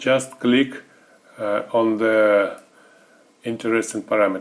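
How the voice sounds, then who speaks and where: A man's very slow, monotone, flat delivery at medium pitch, with a non-native accent. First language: not English. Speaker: software service developer. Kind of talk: tutorial. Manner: halting, many filler sounds.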